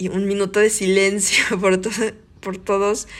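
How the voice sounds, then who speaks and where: With a Mexican accent, a woman speaks at a medium pitch. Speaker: podcast host. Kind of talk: personal monologue.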